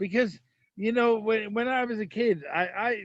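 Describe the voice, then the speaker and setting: Someone speaks with a strong Irish accent against a quiet background. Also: man. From Ireland. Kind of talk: casual chat.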